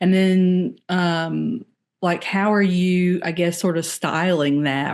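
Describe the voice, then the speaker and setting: Against a quiet background, a woman with a Southern US accent and fairly low pitch speaks at a very slow pace with fairly even intonation. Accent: Southern US accent, noticeable. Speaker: podcast host. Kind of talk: casual interview.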